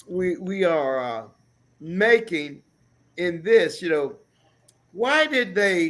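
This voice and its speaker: With an American accent, a man speaks at a very slow pace in a high pitch, using very wide pitch swings and long, frequent pauses. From USA. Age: 60s. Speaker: talk show co-host. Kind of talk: casual discussion.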